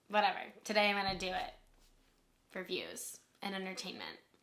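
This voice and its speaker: A woman with a medium pitch and a bright, sharp tone speaks at a moderate pace with vocal fry. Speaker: lifestyle vlogger. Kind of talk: casual vlog talk.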